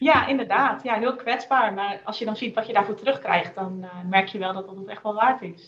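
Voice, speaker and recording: A woman speaks in an ordinary speaking voice, fairly high in pitch with ordinary pitch variation. She keeps a moderate pace with hardly any pauses, and her loudness swings widely. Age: 20s. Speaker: copywriter and business owner. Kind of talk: casual interview. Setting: video call.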